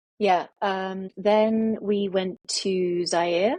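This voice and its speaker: A woman's medium-pitched voice with a British accent, in a dry, close sound with no echo. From international childhood, boarding school in the UK. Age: 50s. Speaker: author. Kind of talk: interview. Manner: hesitant, many fillers.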